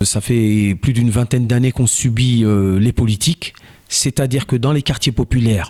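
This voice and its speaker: A man speaks with a somewhat breathy voice. The sound is dry and close, with no echo. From France, Joué-lès-Tours (Indre-et-Loire). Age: 40s. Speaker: local election candidate. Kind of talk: campaign statement interview.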